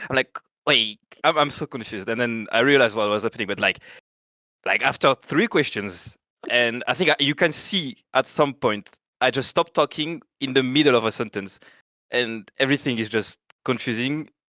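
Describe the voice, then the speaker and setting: A man talks in a French accent at a medium pitch. His pace is moderate, with ordinary pitch variation. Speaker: esports pro player. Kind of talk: casual chat. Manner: hesitant, filler-heavy; animated.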